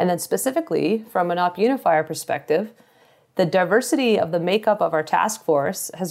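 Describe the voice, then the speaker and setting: A woman with a Canadian accent talks at a fairly quick pace in a plain, everyday voice, her pitch fairly low. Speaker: army officer. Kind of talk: interview. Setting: remote call from deployment.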